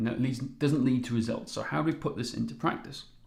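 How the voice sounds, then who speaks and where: A medium-pitched male voice at a fairly quick pace, with audible room echo. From Wales. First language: Welsh. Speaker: fitness coach. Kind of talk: live webinar presentation. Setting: live stream. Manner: animated.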